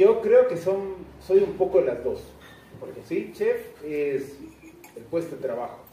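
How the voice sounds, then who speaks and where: A man at a very slow pace with long, frequent pauses and big swings in loudness, amid audible room echo and noticeable background noise. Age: 40s. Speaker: chef and restaurant owner. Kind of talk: onstage interview before a live audience. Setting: restaurant event with live audience.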